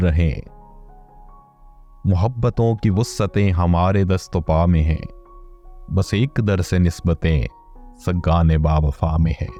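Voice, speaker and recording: A man talks with ordinary pitch variation. Behind him, music can be heard. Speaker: poetry reciter. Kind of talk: poetry reading. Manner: emotive, precise enunciation.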